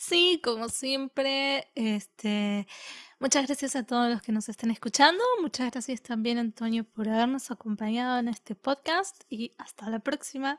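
In an Argentine accent, a woman speaks at a fairly slow pace with a high voice. Her pitch varies in an ordinary way, and the sound is dry and close with no echo. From Argentina. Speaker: podcast co-host and editor. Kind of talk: casual chat.

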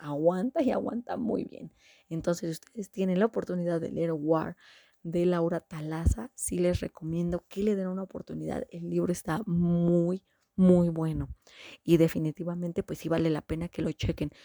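Her loudness swings widely as a woman speaks at a moderate pace, fairly low-pitched with ordinary variation and a dark, mellow tone, in a dry, close sound with no echo. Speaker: book review podcaster. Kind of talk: casual monologue.

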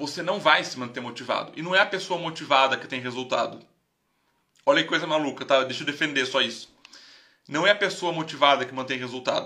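In a normal speaking voice, a man with a fairly high pitch talks at a fairly quick pace with ordinary pitch variation. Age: 30s. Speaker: investment educator, live stream host. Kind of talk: casual live stream talk. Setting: live stream.

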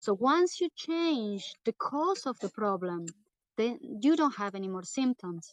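A woman speaks very slowly in a fairly high voice with very wide pitch swings, the sound dry and close with no echo. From southern Brazil. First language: Portuguese. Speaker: retreat center co-founder. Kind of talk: interview.

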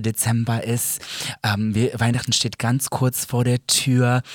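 A man is speaking. His pace is very slow. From Germany, Serbian family. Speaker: podcast co-host. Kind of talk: casual chat.

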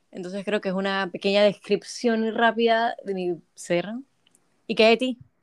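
A woman speaks in a normal speaking voice at a medium pitch, keeping a fairly slow pace and fairly even intonation. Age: young. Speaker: podcast co-host, communication student. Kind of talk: casual chat.

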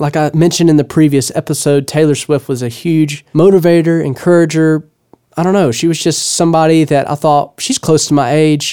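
The voice has a Southern US accent and a dark, mellow tone. Intonation stays fairly even. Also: man, fairly high pitch for a man, fairly quick pace. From Louisiana (Blanchard, small town). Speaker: podcast host and songwriter. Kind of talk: solo monologue podcast, motivational storytelling. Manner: casual, conversational.

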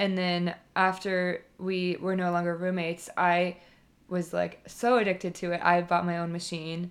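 A woman with an American accent speaks in a fairly low voice at a moderate pace. Her intonation is monotone and flat, on a very clean recording with a silent background. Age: 20s. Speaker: podcast co-host. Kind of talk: casual chat.

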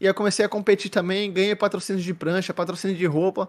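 Very fast, monotone, flat delivery on a very clean recording with a silent background. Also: man. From Santos, São Paulo coast, Brazil. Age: 30s. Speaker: esports commentator and host. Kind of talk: casual chat. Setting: live-streamed podcast call.

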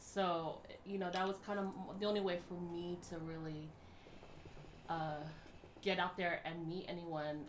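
A woman with a fairly low pitch speaks at a fairly slow pace in monotone, flat intonation, leaving long, frequent pauses. Noticeable background noise and audible room echo fill the recording. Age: 30s. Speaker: podcast co-host. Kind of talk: casual chat.

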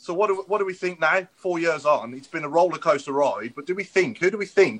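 A man talks at a very fast pace in a high pitch with ordinary pitch variation. His tone is bright and sharp. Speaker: football podcast host. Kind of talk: casual chat.

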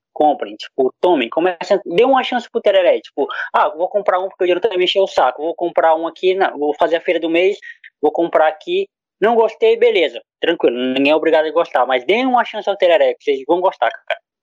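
The sound is dry and close, with no echo. A man's speech comes at a fairly quick pace. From Brazil, Acre. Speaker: podcaster. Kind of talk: casual chat.

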